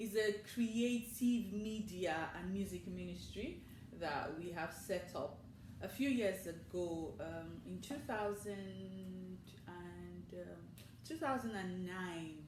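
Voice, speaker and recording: A woman talks at a very slow pace, with audible room echo and noticeable background noise around her. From Nigeria. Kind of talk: interview. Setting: studio.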